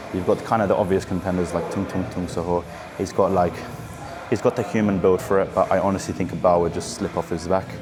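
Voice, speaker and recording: A man with a very deep, low pitch and a British accent, talking at a very fast pace in a monotone, flat intonation over music in the background. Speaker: fitness vlogger. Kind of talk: casual gym vlog talk. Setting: gym.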